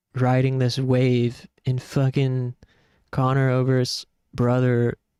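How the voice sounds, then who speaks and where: Soft-spoken and very slow, a man with a dark, mellow tone speaks at medium pitch in a monotone, flat intonation, the sound dry and close with no echo. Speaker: gaming streamer. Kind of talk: casual live-stream commentary.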